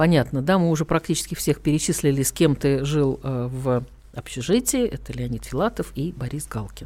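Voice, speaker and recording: A woman speaks at a moderate pace. Her pitch is very deep and low, with ordinary pitch variation. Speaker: radio host. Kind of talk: casual interview chat. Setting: radio studio.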